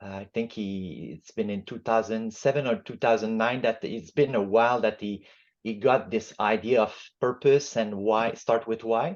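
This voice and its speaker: A man with a Quebec accent speaks at a medium pitch with fairly even intonation over a quiet background. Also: moderate pace. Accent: Quebec French-Canadian. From Quebec, Montreal. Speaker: book club facilitator, appliance repair business owner. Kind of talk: book club discussion. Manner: halting, many fillers.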